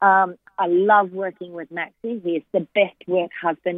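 A woman talks at a moderate pace. Her pitch is medium and her intonation fairly even. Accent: Australian. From Queensland, Australia. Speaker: former jockey and racing broadcaster. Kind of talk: casual chat. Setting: phone call.

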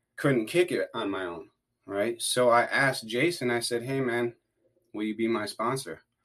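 An unremarkable speaking voice: a medium-pitched man with an American accent, moderate pace and ordinary pitch variation. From US Midwest, Wisconsin. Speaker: addiction recovery worker, former prisoner. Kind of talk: casual interview, personal recovery story. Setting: podcast recording.

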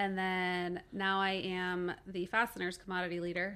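A woman speaks at a moderate pace with a Midwestern American accent and a medium pitch. The recording is very clean, with a silent background. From Cincinnati, Ohio, US Midwest. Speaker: corporate marketing and supply chain manager. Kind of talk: podcast interview. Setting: studio.

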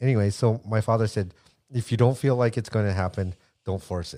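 A man's fairly low, dark and mellow voice with an American accent, at a very fast pace, with ordinary pitch variation, big swings in loudness, a dry, close sound with no echo and a very clean recording with a silent background. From United States. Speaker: percussionist and radio DJ. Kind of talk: casual chat.

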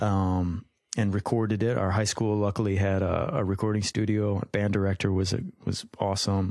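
This man has an unremarkable speaking voice with an American accent. He talks at a moderate pace in a fairly low pitch. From Minnesota. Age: 30s. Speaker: musician and business owner. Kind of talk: interview.

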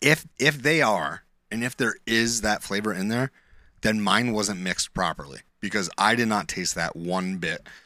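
Bright and sharp in tone, the speech comes in a northern New York accent with lively intonation, recorded very cleanly against a silent background. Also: man, fairly low pitch for a man, moderate pace. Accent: northern New York, Canadian-like. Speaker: podcast co-host. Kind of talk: casual chat.

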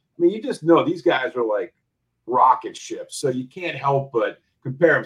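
In an American accent, a man talks at a moderate pace with very wide pitch swings and vocal fry. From New Jersey. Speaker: hockey betting guest. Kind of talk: casual chat.

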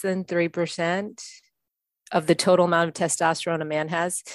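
An ordinary speaking voice, a woman at fairly low pitch, with fairly even intonation, a moderate pace, and a quiet background. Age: 50s. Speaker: strength coach. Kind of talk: casual chat.

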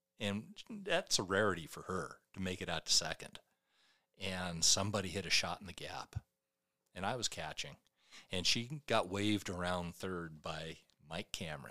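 A man's very deep, low voice in a bright, sharp tone, with long, frequent pauses. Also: big swings in loudness. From Washington state, US (Ephrata). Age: 60s. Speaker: police officer and amateur baseball player. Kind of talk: casual chat.

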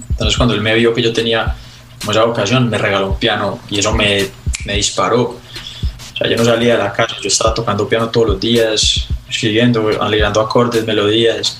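A man speaks at a moderate pace in a medium-pitched voice. His intonation is monotone and flat, with noticeable background noise. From Colombia, Medellín. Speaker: singer-songwriter. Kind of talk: interview conversation.

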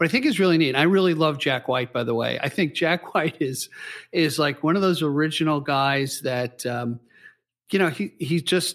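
Here is a man with a normal speaking voice. His pitch is fairly high. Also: ordinary pitch variation, moderate pace, very clean recording, silent background. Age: 60s. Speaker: podcast host. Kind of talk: interview.

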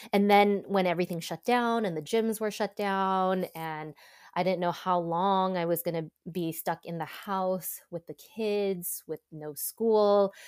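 A woman of medium pitch speaks in an American accent at a fairly slow pace with fairly even intonation. The recording is very clean with a silent background and a dry, close sound with no echo. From Southern California, suburbs of Los Angeles. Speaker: content creator and former TV news reporter. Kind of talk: casual interview chat.

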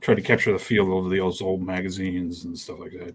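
This man's voice sits very deep and low. There is a somewhat breathy quality to it. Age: 50s. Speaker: comic artist and magazine creator. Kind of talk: casual chat.

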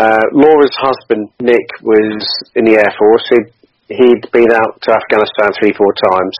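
A man's medium-pitched, unremarkable speaking voice at a moderate pace, with fairly even intonation. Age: 40s. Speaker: charity cyclist and Air Force veteran. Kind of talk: interview.

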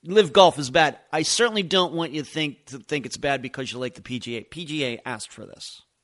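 Over a quiet background, a man with an American accent talks at a fairly quick pace in a fairly high pitch and a bright, sharp tone. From Pennsylvania. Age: 50s. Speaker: true crime podcast host. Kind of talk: podcast Q and A monologue. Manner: loud, voice carries.

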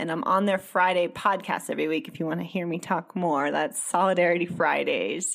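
A woman with a normal speaking voice at a moderate pace, ordinary pitch variation, and a very clean recording with a silent background. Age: 30s. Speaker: psychedelic journalist and author. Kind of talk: casual chat.

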